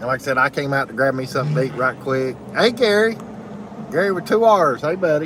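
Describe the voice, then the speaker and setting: A man speaks in a Southern US accent with lively intonation. Background noise is noticeable. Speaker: live streamer. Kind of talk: live stream chat reading comments. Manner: loud.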